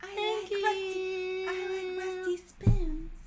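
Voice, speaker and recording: A put-on character voice, extremely high and monotone in its flat intonation, at a fairly slow pace. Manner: creepy.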